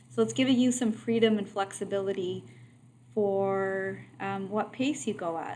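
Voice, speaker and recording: A woman of medium pitch with a dark, mellow tone, lively intonation and a moderate pace, with audible room echo. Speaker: math teacher. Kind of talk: lecture. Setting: online video lesson.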